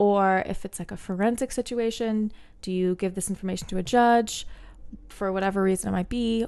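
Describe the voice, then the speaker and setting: A woman with an American accent has an ordinary speaking voice, medium in pitch with fairly even intonation. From New Jersey and Bermuda. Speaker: neuroscientist. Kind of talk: casual interview chat.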